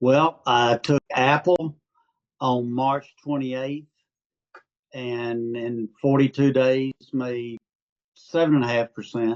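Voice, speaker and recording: A man's medium-pitched voice in an Arkansas accent, very slow, with long, frequent pauses, fairly even intonation, and a dry, close sound with no echo. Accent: Southern (Arkansas) accent noticeable. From Arkansas, US South. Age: 70s. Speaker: retired amateur stock trader. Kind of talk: interview. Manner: halting, many fillers.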